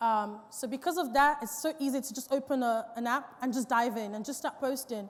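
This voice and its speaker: A woman talks at a fairly quick pace in a high voice, her pitch varying in an ordinary way. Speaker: business owner giving a talk on social media. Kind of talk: seminar talk. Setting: stage with audience.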